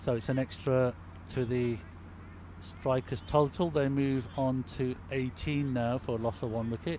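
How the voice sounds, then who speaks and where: Somewhat breathy and dark, mellow in tone, a man speaks at a fairly slow pace with medium pitch and ordinary pitch variation. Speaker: cricket commentator. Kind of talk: live commentary. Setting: outdoors at night under floodlights.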